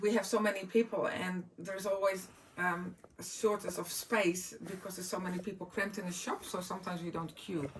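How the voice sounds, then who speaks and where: A woman's medium-pitched voice at a moderate pace, fairly even in intonation, with noticeable background noise. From Netherlands, Groningen in the north. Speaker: speaker sharing personal items. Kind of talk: personal show-and-tell talk. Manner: halting, many fillers.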